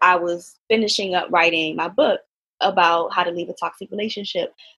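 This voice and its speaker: In a very clean recording with a silent background, a woman with an American accent talks at a medium pitch with ordinary pitch variation. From Washington DC, US. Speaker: self-love and relationship coach. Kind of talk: podcast interview. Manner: halting, many fillers.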